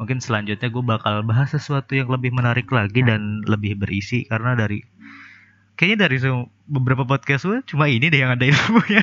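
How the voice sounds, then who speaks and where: Over a quiet background, a man speaks at a very fast pace in a medium pitch. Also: ordinary pitch variation. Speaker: solo podcaster. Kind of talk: casual monologue. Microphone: new recording software and hardware.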